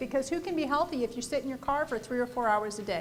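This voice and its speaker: A woman speaks loudly at a high pitch. She has an American accent. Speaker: housing policy panelist. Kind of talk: panel presentation.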